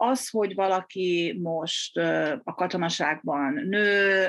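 Against a quiet background, a woman speaks in a fairly low pitch with ordinary pitch variation. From Hungary. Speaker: military psychiatrist. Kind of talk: interview. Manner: halting, many repetitions.

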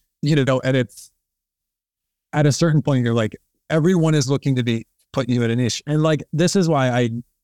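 The recording is very clean with a silent background and a dry, close sound with no echo, as a man in an ordinary speaking voice talks at a fairly quick pace with ordinary pitch variation. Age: 30s. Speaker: cinematographer. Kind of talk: casual interview.

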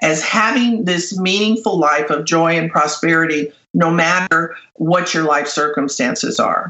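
Here a woman speaks with an American accent. She has a fairly low pitch and a normal speaking voice. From Los Angeles, US. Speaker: business coach and author. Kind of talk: interview. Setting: radio show.

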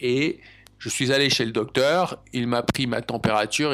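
This man's intonation is fairly even. He talks very slowly. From France. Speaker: language-learning podcast host. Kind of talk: casual solo monologue for learners.

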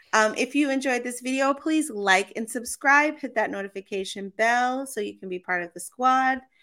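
An animated, bright and sharp delivery at a moderate pace, with ordinary pitch variation, big swings in loudness and hardly any pauses. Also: woman, high pitch for a woman. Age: 30s. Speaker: podcast co-host. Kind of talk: casual chat.

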